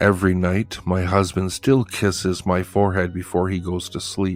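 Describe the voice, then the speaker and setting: Over background music, a man talks with intonation that stays fairly even. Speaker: horror story narrator. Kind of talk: horror story narration.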